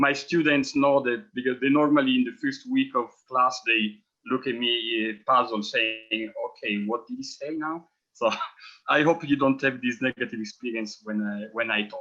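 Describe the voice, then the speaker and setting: A man with a strong Italian accent speaks at a medium pitch and moderate pace. His tone is bright and sharp, with ordinary pitch variation. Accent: heavy Italian. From Italy. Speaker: professor and forum co-organizer. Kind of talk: forum introduction.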